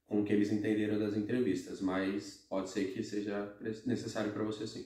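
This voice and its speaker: A man's voice is fairly low, with a dark, mellow tone and flat, monotone intonation. Room echo is audible. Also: moderate pace. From Brazil. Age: 20s. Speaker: expat office worker. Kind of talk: casual Q&A chat.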